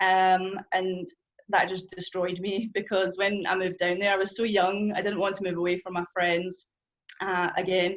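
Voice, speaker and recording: In a strong Scottish accent, the voice keeps a monotone, flat intonation. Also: woman, medium pitch for a woman. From Scotland. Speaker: churchgoer sharing testimony. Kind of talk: testimony. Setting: church group gathering with audience. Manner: fast.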